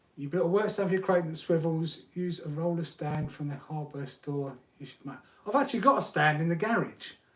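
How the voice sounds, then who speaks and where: A man with a high pitch speaks at a fairly quick pace amid noticeable background noise. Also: ordinary pitch variation, big swings in loudness. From UK. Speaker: RC hobby YouTuber. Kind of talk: live stream chat.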